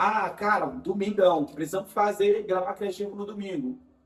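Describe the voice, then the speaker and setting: A man's high-pitched voice at a moderate pace. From Bahia, Brazil. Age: 20s. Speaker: digital marketing specialist. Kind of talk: casual interview.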